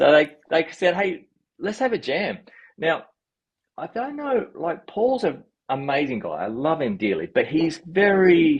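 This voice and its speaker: Speaking with an Australian accent at a fairly slow pace, a man has a high pitch with very wide pitch swings. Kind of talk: interview answer.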